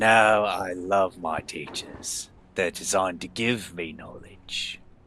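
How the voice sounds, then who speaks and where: A man's put-on character voice with very deep, low pitch, fairly even intonation and a fairly slow pace. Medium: actual play. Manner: inquisitive, blunt.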